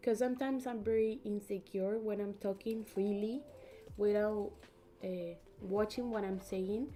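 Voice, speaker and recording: In a Spanish accent, a woman speaks fairly slowly with a fairly high pitch and fairly even intonation. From Peru. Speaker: YouTube colorist streamer. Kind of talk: casual livestream chat. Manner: halting.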